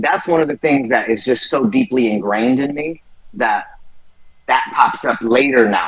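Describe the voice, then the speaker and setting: The speaker is a man with an American accent. His pitch sits fairly high. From San Jose, California (Bay Area). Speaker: rapper. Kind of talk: interview. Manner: animated.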